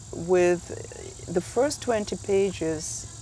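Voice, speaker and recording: A woman with a Russian accent talks amid noticeable background noise and audible room echo. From Russia (Soviet Union). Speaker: memoir author. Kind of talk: interview. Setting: writers conference. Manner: halting.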